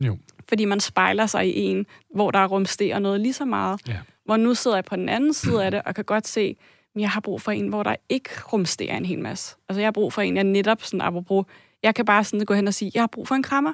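In a normal speaking voice, a woman at medium pitch moves at a fairly quick pace with ordinary pitch variation, and the sound is dry and close with no echo. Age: 30s. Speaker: caller. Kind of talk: testimony.

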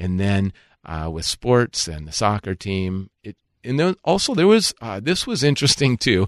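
In a dry, close sound with no echo and a quiet background, a man with an unremarkable speaking voice and an American accent talks at a moderate pace, fairly low in pitch, with lively intonation and big swings in loudness. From Minnesota, US Midwest. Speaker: pastor and former pro soccer goalkeeper. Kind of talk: interview, faith testimony.

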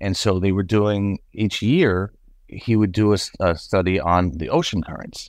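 A plain, everyday voice in an American accent speaks at a moderate pace, with a dry, close sound with no echo and a quiet background. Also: man. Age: 50s. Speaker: son of a late teacher. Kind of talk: interview.

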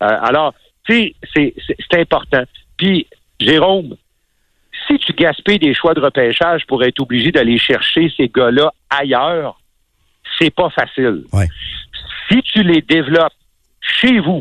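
The speaker goes at a very slow pace, leaving long, frequent pauses. The intonation is lively while the loudness stays very even. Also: man, fairly high pitch for a man. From Quebec City, Quebec. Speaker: hockey analyst. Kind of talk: casual chat.

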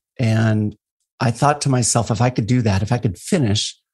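The background is quiet as a man speaks at a fairly quick pace, his voice somewhat breathy. His pitch is medium and his intonation fairly even. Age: 50s. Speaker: endurance and fitness coach. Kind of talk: casual interview conversation.

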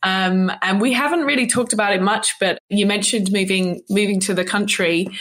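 Speaking at a fairly quick pace with hardly any pauses, a woman uses a plain, everyday voice of medium pitch, ordinary pitch variation and very even loudness. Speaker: podcast host. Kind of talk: interview, casual chat.

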